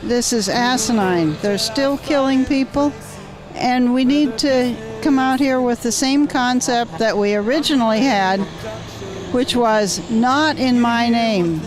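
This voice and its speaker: Music plays behind a woman whose high voice moves at a fairly slow pace, with ordinary pitch variation, very even loudness and audible room echo. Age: 70s. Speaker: peace vigil participant. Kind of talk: vox pop interview.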